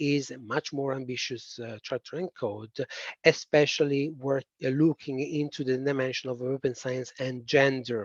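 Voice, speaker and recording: A man's medium-pitched voice with a strong Italian accent, a fairly slow pace and a dry, close sound with no echo. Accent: thick Italian. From Italy. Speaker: policy presenter. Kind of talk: webinar presentation. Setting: online webinar. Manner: hesitant, many fillers.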